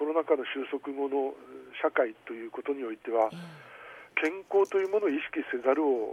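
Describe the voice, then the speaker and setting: A man talks in a normal speaking voice with a fairly high pitch, ordinary pitch variation and a moderate pace. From Aomori, Tsugaru (Kanagi). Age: 60s. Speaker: community organization director. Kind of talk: radio interview. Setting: phone call.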